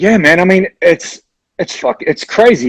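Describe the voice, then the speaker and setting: A voice with a New Zealand accent comes through with a dry, close sound and no echo. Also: man. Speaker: rock band frontman. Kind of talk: casual interview chat. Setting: video call livestream. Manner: casual, halting with fillers.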